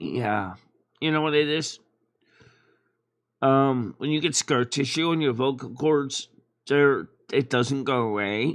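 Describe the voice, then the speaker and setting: Against a quiet background, a man with a fairly high voice talks very slowly, leaving long, frequent pauses. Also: ordinary pitch variation. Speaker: streamer. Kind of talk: casual chat.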